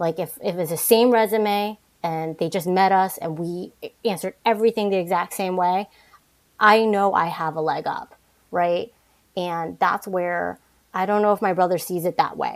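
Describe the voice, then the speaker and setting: Here is an ordinary speaking voice from a woman with medium pitch and fairly even intonation. She keeps a moderate pace on a very clean recording with a silent background. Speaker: guest. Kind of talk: casual interview conversation.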